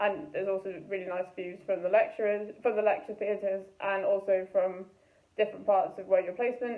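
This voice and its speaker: At a fairly quick pace, a woman speaks with a Welsh accent. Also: medium pitch for a woman, ordinary pitch variation. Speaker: medical student. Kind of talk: student testimonial.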